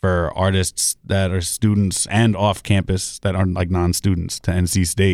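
On a very clean recording with a silent background and a dry, close sound with no echo, a man speaks at a moderate pace in a very deep, low pitch, monotone and flat, with very even loudness and hardly any pauses. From New York, the Bronx. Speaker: DJ and hip hop producer. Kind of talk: casual chat. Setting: studio.

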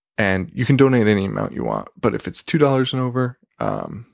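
Quiet but with lively intonation, a man with a fairly low voice talks at a fairly quick pace, the sound dry and close with no echo on a very clean recording with a silent background. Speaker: horror podcast host. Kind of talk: solo casual podcast monologue. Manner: half-quiet talk.

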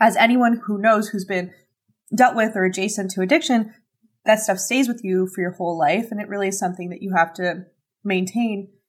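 A woman with a Canadian accent talks at a fairly quick pace, her medium pitch somewhat breathy and showing ordinary pitch variation. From Canada. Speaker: social media influencer and podcaster. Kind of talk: casual interview chat.

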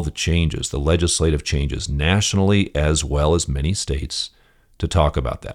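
On a very clean recording with a silent background, a man with an American accent talks at a moderate pace, showing vocal fry and ordinary pitch variation. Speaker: podcast host and property management coach. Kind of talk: solo podcast monologue, instructional.

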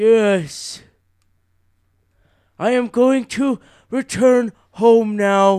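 A man's high-pitched put-on character voice, very slow with long, frequent pauses, in a very clean recording with a silent background. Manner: grateful, slow, deliberate.

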